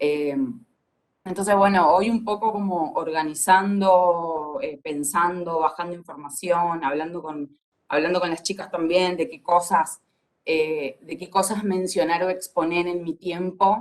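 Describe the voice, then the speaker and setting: Her fairly low pitch and fairly even intonation mark an ordinary speaking voice. The woman's loudness swings widely. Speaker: film industry panelist. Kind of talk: panel discussion.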